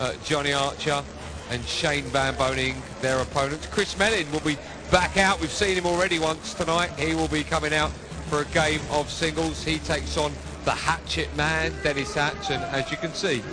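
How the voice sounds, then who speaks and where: Moderate-paced male speech with audible room echo and noticeable background noise. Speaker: sports presenter. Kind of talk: post-match interview and studio chat. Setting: live arena with crowd.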